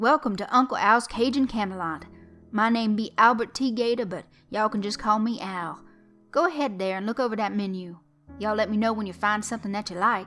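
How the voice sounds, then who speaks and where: A female-sounding put-on character voice, loud and booming, runs at a fairly quick pace with fairly high pitch as faint music plays in the background. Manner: loud, booming, friendly.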